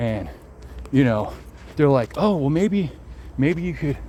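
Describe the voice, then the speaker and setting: A man with vocal fry at a fairly quick pace. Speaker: self-help video creator. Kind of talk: casual monologue. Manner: repetitive, stumbling; fast.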